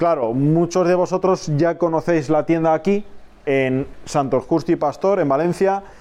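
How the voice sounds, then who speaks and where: The voice has a dark, mellow tone and fairly even intonation at a fairly slow pace. Loudness stays very even throughout. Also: man, high pitch for a man. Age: 30s. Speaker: aquarium shop owner and podcast host. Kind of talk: casual monologue. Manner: halting.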